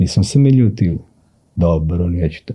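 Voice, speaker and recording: Lively intonation from a man with a dark, mellow tone at a fairly quick pace. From Serbia, Sandžak (Novi Pazar). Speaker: writer and poet. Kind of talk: casual interview.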